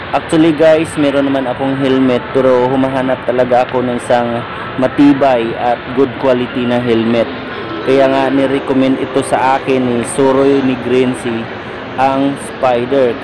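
Music plays in the background while a man talks. His moderate-paced speech has a dry sound with no echo. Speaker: vlogger. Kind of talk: casual vlog chat. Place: shop.

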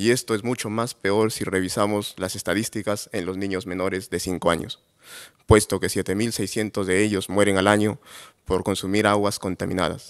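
Against a quiet background, a man speaks at a moderate pace in a fairly low, monotone voice with flat intonation. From Peru, Cajamarca; Peru. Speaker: entrepreneur, agronomist; presenter. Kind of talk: award presentation talk. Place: hall. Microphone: podium.

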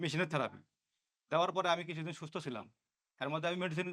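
With fairly even intonation, a man talks in a plain, everyday voice. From Bangladesh, Bogura district. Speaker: patient. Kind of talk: testimony.

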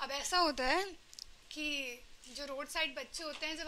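Over light background noise, a woman projects a raised voice. Her pitch is high, with ordinary variation. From Varanasi, India. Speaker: poet. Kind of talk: casual talk to a live audience. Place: stage. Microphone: handheld.

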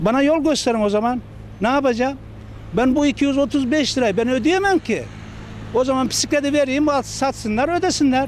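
Extremely high-pitched, a man talks at a moderate pace with ordinary pitch variation and very even loudness, the sound dry with no echo over light background noise. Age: 40s. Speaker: cafeteria worker, cyclist fined by police. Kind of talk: news interview answer. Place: street. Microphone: handheld.

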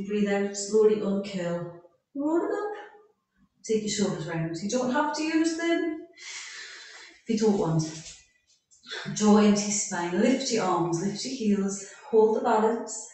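Strong room echo carries a woman's voice as she speaks at a fairly slow pace with long, frequent pauses. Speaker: fitness instructor. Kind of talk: exercise class instruction. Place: home room. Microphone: camera far.

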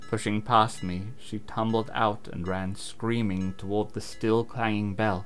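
With fairly even intonation, the text is read aloud in a plain way.

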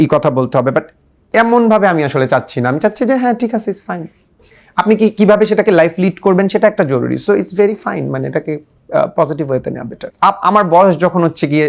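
There is lively intonation in the man's voice. He talks at a high pitch. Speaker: interviewee, former boyfriend. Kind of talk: press interview. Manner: halting.

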